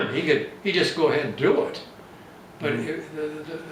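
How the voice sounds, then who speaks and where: This is a man's voice. Noticeable background noise is present. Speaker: silversmith. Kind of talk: interview answer. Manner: gentle, unassuming.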